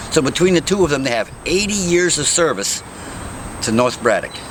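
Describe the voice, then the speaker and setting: A man with an American accent at a moderate pace, with noticeable background noise. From western Pennsylvania, Pittsburgh area. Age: 60s. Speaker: mayoral candidate. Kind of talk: interview. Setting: outdoors.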